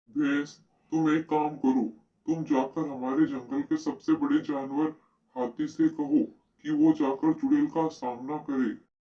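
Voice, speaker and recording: A cartoonish character voice, middle in pitch, at a fairly slow pace. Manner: authoritative.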